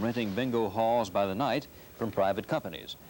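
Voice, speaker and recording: A plain, everyday voice at a fairly quick pace with ordinary pitch variation. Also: man. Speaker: television news anchor. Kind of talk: television news broadcast. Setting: TV studio broadcast, 1970s aircheck.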